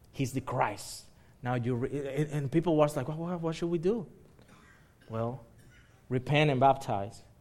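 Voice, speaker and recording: A fairly high-pitched man speaks at a fairly slow pace with long, frequent pauses on a very clean recording with a silent background. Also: ordinary pitch variation. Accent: Spanish. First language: Spanish. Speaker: pastor. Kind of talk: sermon. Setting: church. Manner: halting.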